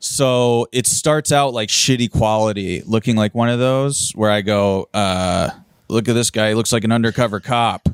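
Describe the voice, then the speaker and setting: Over music in the background, a man with an American accent speaks at a moderate pace and medium pitch, with ordinary pitch variation, very even loudness and a dry, close sound with no echo. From US, Philadelphia. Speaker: stand-up comedian. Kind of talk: casual chat.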